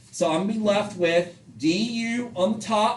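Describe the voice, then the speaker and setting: Noticeable background noise sits behind a man's high-pitched voice. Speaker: math teacher. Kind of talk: classroom lecture.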